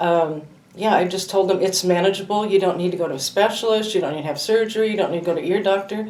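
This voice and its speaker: Amid noticeable background noise and audible room echo, a woman at a medium pitch speaks at a very fast pace with fairly even intonation. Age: 60s. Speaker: patient giving testimonial. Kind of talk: testimony.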